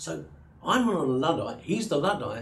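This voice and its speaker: Very wide pitch swings from a man at a moderate pace, with audible room echo. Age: 70s. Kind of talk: interview. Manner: halting.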